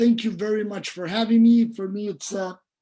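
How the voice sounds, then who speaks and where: A man's high-pitched voice with a dark, mellow tone and a Portuguese accent. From Brazil. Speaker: dentistry professor. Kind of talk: lecture.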